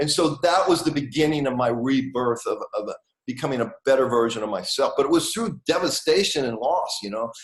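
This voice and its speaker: A man with an American accent, a normal speaking voice, fairly high pitch, lively intonation and a fairly quick pace. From US. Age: 60s. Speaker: author and manifestation teacher. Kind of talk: interview.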